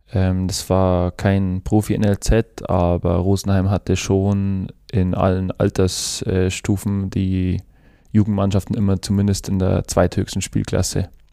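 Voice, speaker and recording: Over a silent background in a very clean recording, a man with an Upper Bavarian accent speaks very slowly in a very deep, low pitch, his dark, mellow tone flat and monotone, his loudness very even, the sound dry and close with no echo. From Upper Bavaria, Germany (Chiemgau). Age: 20s. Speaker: professional footballer. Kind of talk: casual interview. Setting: studio. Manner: hesitant, many fillers.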